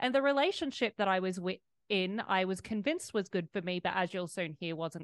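In an Australian accent, a woman speaks with ordinary pitch variation, the sound dry and close with no echo against a quiet background. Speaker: fitness coach and author. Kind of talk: interview.

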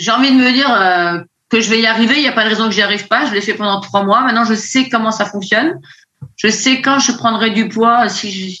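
A woman with a fairly high pitch speaks at a fairly quick pace in a bright, sharp tone, her pitch varying in an ordinary way. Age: 50s. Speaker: nurse, coaching client. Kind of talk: testimony. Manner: hesitant.

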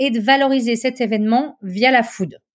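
In a very clean recording with a silent background, a woman with an ordinary speaking voice talks at a fairly slow pace and fairly high pitch. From French Alps, Chamonix. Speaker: chef and food consultant. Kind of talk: interview.

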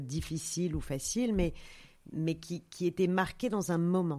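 Pitched fairly low, the woman talks at a moderate pace. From Paris, France. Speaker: yoga studio founder and author. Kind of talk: interview. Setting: outdoors in a vineyard. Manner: halting, many hesitations.

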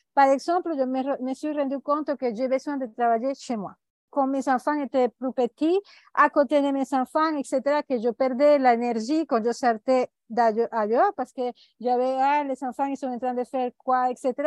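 A woman with a Spanish accent speaks at a fairly slow pace in a high voice with fairly even intonation. The sound is dry and close, with no echo. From Venezuela. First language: Spanish (speaking French). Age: 50s. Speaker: life coach and author. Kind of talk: interview. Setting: remote call. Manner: halting.

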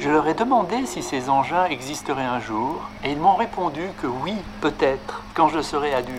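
With music in the background, a man talks at a moderate pace. His pitch is fairly high and his intonation lively. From France, Lyon. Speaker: mathematician. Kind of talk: prepared speech.

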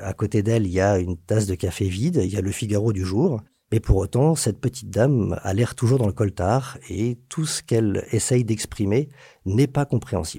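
Heard on a very clean recording with a silent background, a man speaks at a moderate pace in a fairly low, somewhat breathy voice with a dark, mellow tone. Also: ordinary pitch variation. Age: 40s. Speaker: notary. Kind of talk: storytelling. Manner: hesitant fillers.

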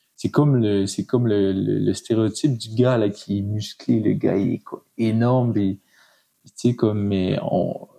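Speech comes at a very slow pace. Its tone is dark and mellow, its intonation fairly even. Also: man, fairly low pitch for a man. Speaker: podcaster and aspiring blogger. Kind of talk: casual interview conversation.

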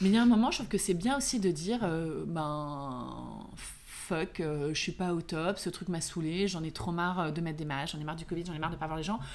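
With an animated tone, a woman talks at a fairly quick pace with hardly any pauses, a fairly low pitch and ordinary pitch variation, in a room with audible echo. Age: 40s. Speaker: beauty entrepreneur. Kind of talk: casual chat.

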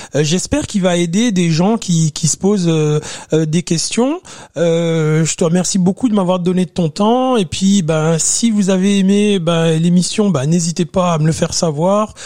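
In a dry, close recording with no echo, a man speaks at a fairly slow pace in a high voice, with ordinary pitch variation and very even loudness. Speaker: podcast host. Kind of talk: interview. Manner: hesitant, repetitive fillers.

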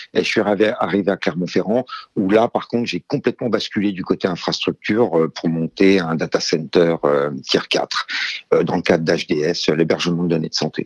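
Very deep and low, a man's voice moves at a moderate pace with ordinary pitch variation. The sound is dry and close with no echo. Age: 50s. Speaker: IT strategy director. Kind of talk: interview. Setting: phone call.

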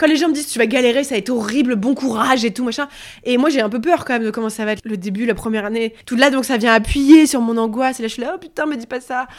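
Speaking very fast, a woman uses a high pitch with ordinary variation. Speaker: journalist and author. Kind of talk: personal testimony interview. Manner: hesitant, many fillers.

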